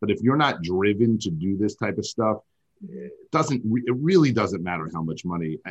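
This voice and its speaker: A man with an American accent talks at a moderate pace in a plain, everyday voice, his fairly low pitch carried by lively intonation. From New York. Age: 40s. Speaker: oral surgeon. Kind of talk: interview.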